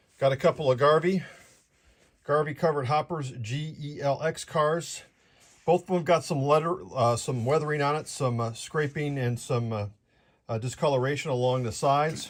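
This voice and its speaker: The somewhat breathy voice has ordinary pitch variation on a very clean recording with a silent background. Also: man, fairly high pitch for a man. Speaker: model train hobbyist streamer. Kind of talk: live stream product walkthrough. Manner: fast.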